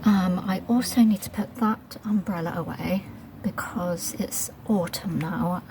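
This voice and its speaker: Over noticeable background noise, a soft-spoken woman with a British accent talks with fairly even intonation. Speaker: gardening vlogger. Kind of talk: casual vlog narration. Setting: outdoors in garden. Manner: quiet, soft-spoken; hesitant, many fillers.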